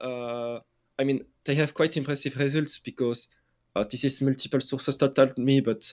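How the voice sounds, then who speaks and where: A man with a French accent speaks at a moderate pace in a medium pitch, his intonation flat and monotone, on a very clean recording with a silent background and a dry, close sound with no echo. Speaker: esports journalist. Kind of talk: casual interview. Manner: halting, many fillers and restarts.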